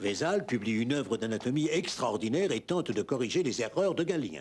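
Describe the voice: A man speaks at a fairly quick pace with a slightly mellow tone, a medium pitch and big pitch swings.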